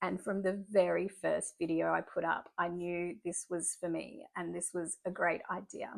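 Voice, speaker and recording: In an Australian accent, the speaker goes at a very slow pace on a very clean recording with a silent background. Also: woman. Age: 40s. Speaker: artist and YouTuber. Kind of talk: casual vlog monologue. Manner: conversational with fillers and restarts.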